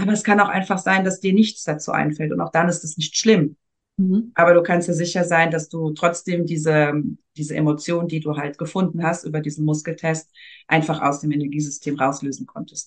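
A woman's unremarkable speaking voice, fairly low-pitched, at a fairly quick pace with fairly even intonation against a quiet background. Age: 40s. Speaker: energy work practitioner. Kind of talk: casual interview. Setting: podcast interview.

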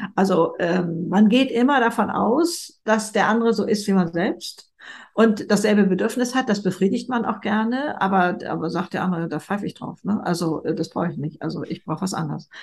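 Somewhat breathy speech at a moderate pace comes with a slight Hamburg accent over a quiet background. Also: woman, medium pitch for a woman, lively intonation. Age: 70s. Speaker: speaker and author. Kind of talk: interview.

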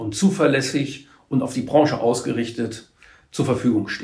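A man talks at a moderate pace in a somewhat breathy voice, with audible room echo around him. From Trier area, Rhineland-Palatinate. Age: 50s. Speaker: trade association executive. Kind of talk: interview.

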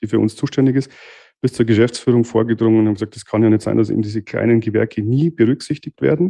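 A man with a Bavarian accent, dark and mellow in tone, medium-pitched with ordinary pitch variation, very fast, over a quiet background. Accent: Bavarian dialect, noticeable. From Bavarian Forest, Bavaria, Germany. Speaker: master dental technician, lab owner. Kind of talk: casual interview. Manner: hesitant, many fillers.

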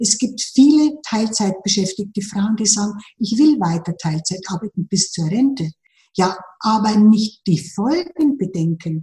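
Her tone is dark and mellow, and her intonation is lively. This woman sounds somewhat breathy and speaks at a fairly slow pace. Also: medium pitch for a woman. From Lower Bavaria, Germany. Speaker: financial advisor. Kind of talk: interview.

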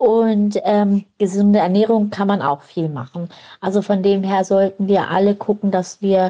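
A woman's dark, mellow tone at medium pitch, with fairly even intonation and a fairly slow pace. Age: 40s. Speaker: lupus patient and support group leader. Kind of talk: recorded voice message.

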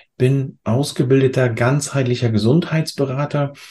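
With a quiet background, a man speaks in a dark, mellow tone that is somewhat breathy. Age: 40s. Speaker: health coach. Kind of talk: interview.

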